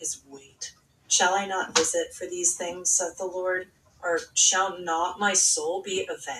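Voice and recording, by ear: Intonation stays fairly even as the speaker reads aloud in a natural voice.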